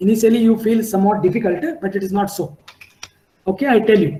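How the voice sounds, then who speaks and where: A man's voice, high in pitch. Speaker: civil engineering lecturer. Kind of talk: lecture.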